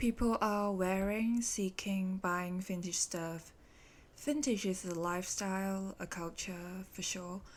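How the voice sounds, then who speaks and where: Someone with a Hong Kong accent speaks at a very slow pace, keeping the intonation fairly even. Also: woman, medium pitch for a woman. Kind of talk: podcast monologue.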